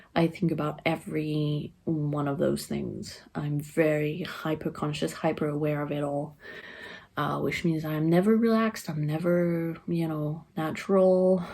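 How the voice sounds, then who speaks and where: A woman speaks with a French accent at a fairly slow pace. Her voice is very deep and low, and her intonation stays fairly even. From France. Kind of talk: personal vlog monologue. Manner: monotone; flat affect.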